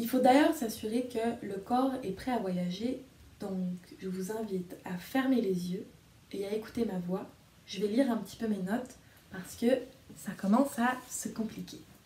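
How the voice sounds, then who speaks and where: A woman's fairly high voice with ordinary pitch variation, a fairly slow pace, long, frequent pauses, and audible room echo. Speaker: storyteller and video reader. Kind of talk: guided meditation. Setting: video recording addressed to viewers. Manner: soft, slow and soothing; gentle, calm, hypnotic pacing with pauses. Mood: calm, soothing. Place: home room. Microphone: phone near.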